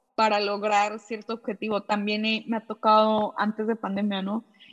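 A woman speaks at a fairly slow pace. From Mexico. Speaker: podcast host. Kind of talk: interview.

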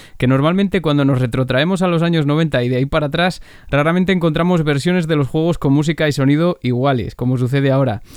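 Pitched fairly high, a man talks at a very fast pace. His pitch varies in an ordinary way. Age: 30s. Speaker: podcast host. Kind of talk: scripted narration. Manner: animated.

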